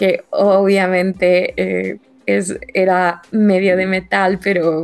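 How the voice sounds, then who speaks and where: A woman's medium-pitched voice in a Mexican accent, with monotone, flat intonation. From Mexico. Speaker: podcast co-host. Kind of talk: casual chat.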